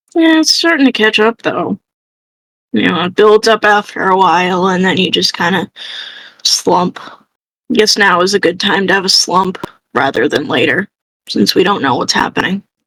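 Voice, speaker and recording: A woman puts on a raspy character voice at medium pitch, talking at a moderate pace with long, frequent pauses. The sound is dry and close, with no echo. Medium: actual play. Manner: weary, low-key.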